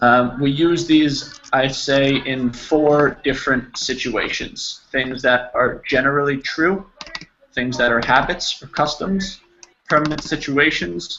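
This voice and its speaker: Here a man talks with a New Jersey accent. His pace is very slow. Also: fairly high pitch for a man, ordinary pitch variation. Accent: New Jersey American. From New Jersey, US. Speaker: English teacher. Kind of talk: online language lesson.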